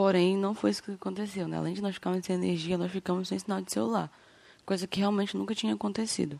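With a quiet background behind her, a woman delivers her words very fast. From Brazil, Amapá (Macapá). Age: 20s. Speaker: podcast host giving local testimony. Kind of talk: testimony. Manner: halting.

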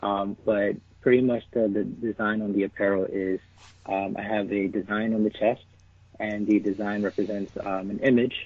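A man's fairly low voice at a fairly quick pace, flat and monotone in intonation. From New York City (Bronx). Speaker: clothing brand founder. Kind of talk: interview.

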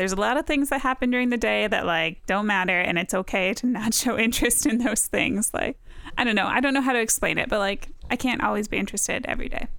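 A woman at a very fast pace, fairly high in pitch with ordinary pitch variation and very even loudness. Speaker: medical student. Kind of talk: casual chat.

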